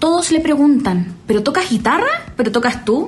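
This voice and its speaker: The pace is moderate as a woman speaks. Noticeable background noise and audible room echo are present. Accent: strong Chilean. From Chile. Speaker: singer and rapper. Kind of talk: casual interview chat.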